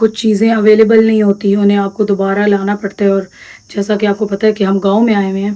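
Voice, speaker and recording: A woman speaks at a moderate pace in a medium pitch. Her intonation stays monotone and flat. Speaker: vlogger. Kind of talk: casual vlog narration.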